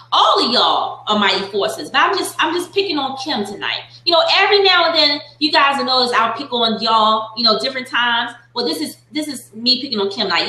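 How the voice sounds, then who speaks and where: Amid noticeable background noise and audible room echo, an animated voice moves at a fairly quick pace with very wide pitch swings and hardly any pauses. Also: woman, high pitch for a woman. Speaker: Bible study leader. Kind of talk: Bible study teaching with group interaction. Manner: animated, excitable.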